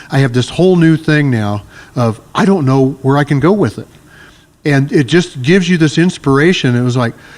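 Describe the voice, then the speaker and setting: Using an unremarkable speaking voice, a man talks at a fairly quick pace and fairly high pitch with ordinary pitch variation. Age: 60s. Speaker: martial arts instructor. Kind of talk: casual chat.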